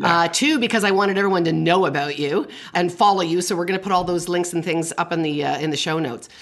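Hardly pausing, a woman speaks at a very fast pace with a fairly low pitch and ordinary pitch variation. There is noticeable background noise behind her. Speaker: parenting podcast host and family counselor. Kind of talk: casual interview conversation.

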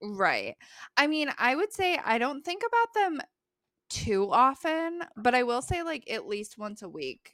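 Bright and sharp in tone, a woman with an American accent speaks at a fairly slow pace, her high pitch swinging very widely. The recording is very clean, with a silent background. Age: 20s. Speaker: librarian. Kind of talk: casual chat.

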